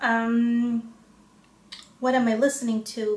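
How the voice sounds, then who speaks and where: A woman's fairly high, monotone, flat voice with an American accent over noticeable background noise. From Chicago area, US. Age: 40s. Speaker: lifestyle vlogger with lupus. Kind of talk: casual talk to camera. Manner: hesitant, many fillers.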